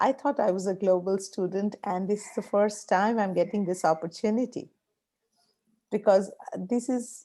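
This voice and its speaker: In an Indian accent, a woman speaks at a moderate pace with a dark, mellow tone, medium pitch and ordinary pitch variation. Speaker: professor. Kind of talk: online class meeting remarks.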